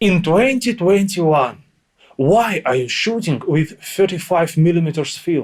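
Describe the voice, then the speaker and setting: In a Russian accent, a man speaks at a fairly slow pace with a high pitch and lively intonation. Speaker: interviewer. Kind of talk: interview.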